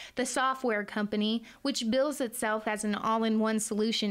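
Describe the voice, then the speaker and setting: This woman has a fairly high pitch, a moderate pace and an ordinary speaking voice. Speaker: broadcast journalism student reporter. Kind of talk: TV news reporting.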